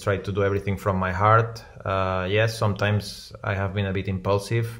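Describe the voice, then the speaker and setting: A man's fairly low, flat monotone against a quiet background. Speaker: remote guest. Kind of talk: interview answer. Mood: relaxed, reflective. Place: home room.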